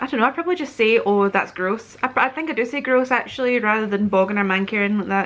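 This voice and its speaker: With a West Central Scottish accent, a woman talks very fast at a fairly high pitch with ordinary pitch variation. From Scotland. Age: 30s. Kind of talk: casual talk to camera.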